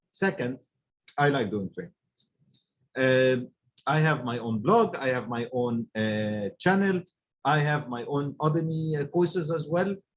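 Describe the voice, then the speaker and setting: With an Arabic accent, a man speaks at a fairly slow pace and a fairly high pitch, leaving long, frequent pauses. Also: lively intonation. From Egypt. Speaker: supply chain director and trainer. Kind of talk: webinar talk. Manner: halting, many fillers.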